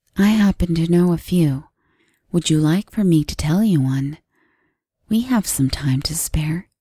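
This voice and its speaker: Putting on a raspy character voice, a woman speaks at a fairly low pitch and a moderate pace, with long, frequent pauses. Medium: read story. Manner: calm, stoic, quietly persuasive.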